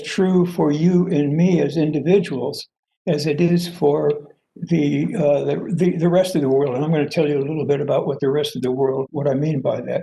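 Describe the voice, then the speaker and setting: Dark, mellow tone from a man, somewhat breathy. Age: 80s+. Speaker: professor and theory founder. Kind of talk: lecture. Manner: halting, many fillers.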